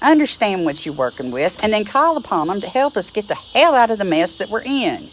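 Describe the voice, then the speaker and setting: A woman in an Appalachian accent, fairly high-pitched with very wide pitch swings, over noticeable background noise. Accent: Appalachian drawl. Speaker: druid teacher. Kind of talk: teaching talk to camera. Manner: blunt, feisty.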